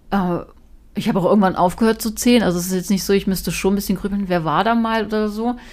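Her intonation fairly even, a woman speaks at a very fast pace in a medium pitch. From Lower Saxony, Germany (Braunschweig). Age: 40s. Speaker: TV presenter. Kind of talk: casual interview chat. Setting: at home in her kitchen.

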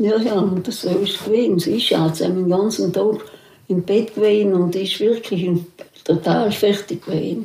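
A woman's medium-pitched voice at a fairly slow pace with fairly even intonation, over noticeable background noise. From South Tyrol, Italy. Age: 80s+. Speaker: contemporary witness. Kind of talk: oral history interview. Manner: halting.

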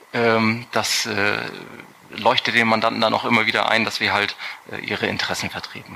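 With noticeable background noise behind him, a man speaks in a flat monotone, leaving long, frequent pauses. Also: medium pitch for a man, moderate pace. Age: 30s. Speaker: tax advisor. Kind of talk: podcast interview. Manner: hesitant, many fillers.

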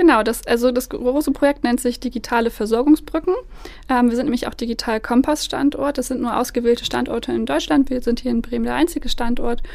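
Amid noticeable background noise, a woman talks very fast at a high pitch, with ordinary pitch variation. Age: 20s. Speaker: head of a nonprofit association. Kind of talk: interview.

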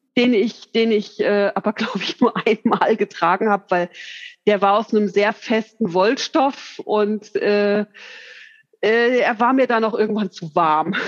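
Her pitch fairly high, a woman speaks at a fairly slow pace with fairly even intonation, the sound dry and close with no echo. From Hesse, Bad Homburg. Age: 40s. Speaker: hobby seamstress, course participant. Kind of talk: interview chat. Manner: hesitant, many fillers.

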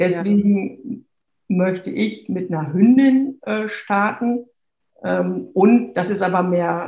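Very slowly, a woman speaks in a dark, mellow tone that is somewhat breathy, her pitch varying in an ordinary way. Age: 50s. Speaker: lawyer and dog owner. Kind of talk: interview. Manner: hesitant, many fillers.

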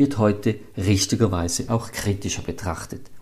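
A man talks in a normal speaking voice at a moderate pace. His pitch is fairly low and his intonation fairly even. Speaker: podcast host, business comedian. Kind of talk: scripted monologue; casual interview chat.

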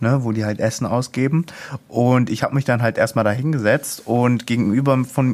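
Here is a man with an ordinary speaking voice and a medium pitch. He speaks at a moderate pace. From Ruhr area, Duisburg. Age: young. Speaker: youth project participant. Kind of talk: casual interview.

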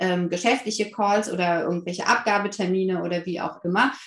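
Her pitch medium, a woman talks at a moderate pace over noticeable background noise. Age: 30s. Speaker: family counselor and parent coach. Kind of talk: casual interview.

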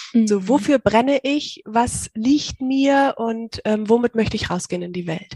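A woman with a normal speaking voice and a fairly high pitch talks at a fairly slow pace with hardly any pauses and ordinary pitch variation, in a dry, close sound with no echo. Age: 30s. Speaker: virtual assistant. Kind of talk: interview.

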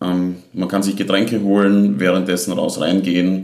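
Man with a slight Styrian accent, very deep and low, at a fairly slow pace, with audible room echo and noticeable background noise. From Austria, southern Styria (Leibnitz district). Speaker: Eurovision fan club event organiser. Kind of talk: casual chat.

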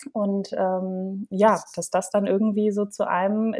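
The woman's voice has a dark, mellow tone and a medium pitch. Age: 30s. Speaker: copywriter and confidence coach. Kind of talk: interview. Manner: hesitant with many fillers.

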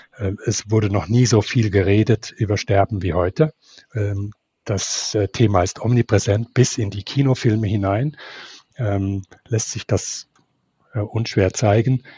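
With long, frequent pauses, a man speaks in a fairly low pitch. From not Switzerland. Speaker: theologian and ethicist. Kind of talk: interview. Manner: halting.

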